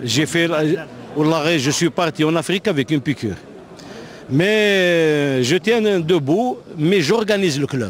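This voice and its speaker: Over noticeable background noise, the speech moves at a very slow pace with long, frequent pauses and lively intonation. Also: man, fairly high pitch for a man. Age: 60s. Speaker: football club president. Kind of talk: press interview. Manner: halting, many fillers.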